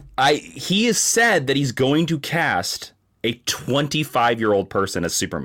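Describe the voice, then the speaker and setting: With vocal fry and very wide pitch swings, a man talks at a moderate pace in a fairly high pitch. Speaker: guest comics commentator. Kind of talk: casual chat. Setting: video call. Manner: loud.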